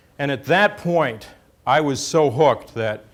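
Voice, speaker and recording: A man with an American accent and an unremarkable speaking voice, at a moderate pace, with lively intonation. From New York City. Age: 60s. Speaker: oceanographer, government chief scientist. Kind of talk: lecture.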